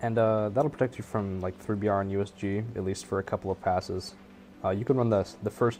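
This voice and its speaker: Music plays behind a man with a fairly low pitch. He speaks at a very fast pace with fairly even intonation. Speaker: video game build guide host. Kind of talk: casual gameplay tutorial talk. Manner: hesitant, lots of filler words.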